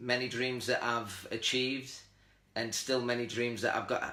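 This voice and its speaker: A man's bright, sharp voice with a Teesside accent, flat and monotone, with audible room echo. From northern England, Middlesbrough. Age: 40s. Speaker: lifestyle livestream host. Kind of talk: casual livestream chat. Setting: Facebook live video stream.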